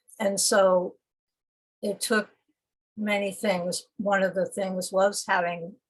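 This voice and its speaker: At a very slow pace, a woman speaks with monotone, flat intonation and a medium pitch. Her voice is somewhat breathy, with long, frequent pauses. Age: 70s. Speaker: poet. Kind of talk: conversational interview. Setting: video call. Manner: halting.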